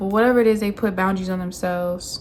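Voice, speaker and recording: A woman's somewhat breathy voice holds a medium pitch and fairly even intonation. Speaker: tarot reader. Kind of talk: tarot reading monologue. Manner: casual, filler-heavy.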